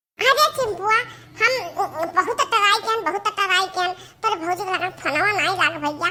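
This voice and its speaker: A cartoonish character voice with an extremely high pitch, delivered at a moderate pace. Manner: excitable, rustic dialect, exclamatory.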